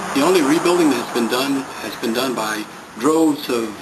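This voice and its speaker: A man talks at a moderate pace with ordinary pitch variation. The room echo is audible, and background noise is noticeable. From New Orleans, Louisiana. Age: 60s. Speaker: community resident, Vietnam veteran. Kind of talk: interview. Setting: abandoned house.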